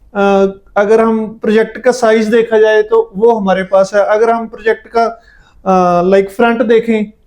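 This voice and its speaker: Here a man speaks in a Punjabi accent at a high pitch. His intonation is monotone and flat, with hardly any pauses. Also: very even loudness. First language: Punjabi (speaking Hindi). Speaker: property developer representative. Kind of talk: property sales interview.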